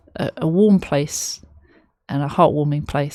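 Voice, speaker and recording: In a London accent, this voice moves at a fairly slow pace with fairly even intonation, recorded with a dry, close sound and no echo. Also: woman. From London, England. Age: 30s. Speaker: music reaction youtuber. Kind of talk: reaction video commentary. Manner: halting, many fillers.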